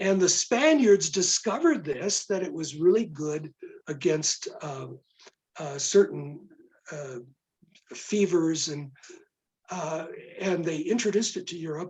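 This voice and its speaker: Speaking slowly with long, frequent pauses, a man uses a high pitch with ordinary pitch variation and big swings in loudness. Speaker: retired religion professor and author. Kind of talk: q&a interview. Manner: halting, many filler words.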